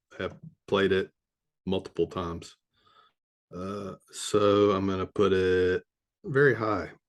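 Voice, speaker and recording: In a Southern US accent, a man talks at a very slow pace with long, frequent pauses and fairly even intonation in a fairly low voice. The sound is dry and close with no echo, and the background is quiet. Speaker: video game reviewer. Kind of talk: casual solo commentary. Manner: hesitant, many fillers.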